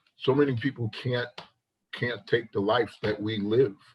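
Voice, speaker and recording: A man speaks at a very slow pace, somewhat breathy. His medium-pitched voice stays monotone and flat. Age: 60s. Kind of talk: casual chat.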